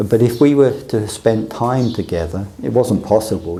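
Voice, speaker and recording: In a British accent, a man speaks at a fairly slow pace with a dark, mellow, somewhat breathy tone. His pitch varies in an ordinary way, and the room's echo is audible. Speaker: teacher of communication skills. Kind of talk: lecture.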